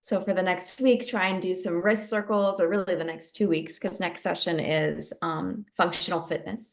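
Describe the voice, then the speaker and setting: Her voice showing vocal fry, a woman speaks at a fairly slow pace. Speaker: yoga instructor. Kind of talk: fitness class chat. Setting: video call.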